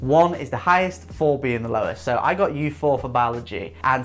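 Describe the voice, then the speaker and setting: Over noticeable background noise, a man with an English accent talks at a fairly quick pace, his fairly high voice swinging very widely in pitch. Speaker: student advice youtuber. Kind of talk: vlog monologue.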